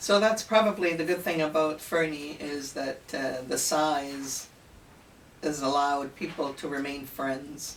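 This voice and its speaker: Over noticeable background noise and audible room echo, a woman with a Canadian accent speaks at a fairly slow pace in a very deep, low pitch with ordinary pitch variation. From Italian-born, raised in Canada. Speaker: interviewer. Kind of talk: interview.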